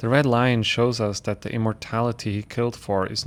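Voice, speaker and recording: A man with a non-native accent talks at a moderate pace and medium pitch, his intonation monotone and flat. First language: not English. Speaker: spiritual content creator. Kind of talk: reading aloud. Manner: occasional self-corrections.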